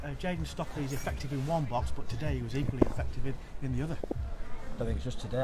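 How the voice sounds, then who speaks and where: The speech moves at a very fast pace. Noticeable background noise runs underneath. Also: man. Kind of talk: interview answer. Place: stadium. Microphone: phone near.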